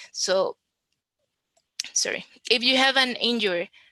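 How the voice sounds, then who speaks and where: A woman with a strong Costa Rican accent and a bright, sharp tone speaks at a fairly slow pace with fairly even intonation, in a dry, close sound with no echo. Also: quiet background. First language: Spanish. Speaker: conference speaker on web accessibility. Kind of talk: conference talk.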